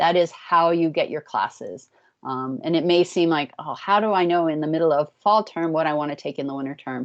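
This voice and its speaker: Speaking at a fairly quick pace with an American accent, a woman has a fairly low pitch, ordinary pitch variation and an ordinary speaking voice. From US. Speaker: academic program advisor. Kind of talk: orientation presentation.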